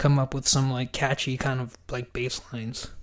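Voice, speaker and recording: A man speaks with a medium pitch, keeping a moderate pace. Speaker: podcast host and metal musician. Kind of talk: casual solo podcast talk. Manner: hesitant, many fillers.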